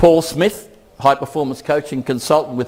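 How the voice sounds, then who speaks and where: A man in an Australian accent speaks at a fairly quick pace. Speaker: keynote speaker, education researcher. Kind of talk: conference keynote.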